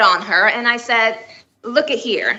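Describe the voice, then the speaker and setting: Ordinary pitch variation in a woman's fairly high voice. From Miami, Florida. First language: Spanish. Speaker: children's book author. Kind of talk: interview. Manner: halting, many fillers.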